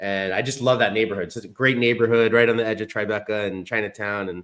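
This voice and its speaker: On a very clean recording with a silent background, a man speaks in a plain, everyday voice, his pitch fairly low and his intonation fairly even. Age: 40s. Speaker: podcast host. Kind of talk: podcast interview.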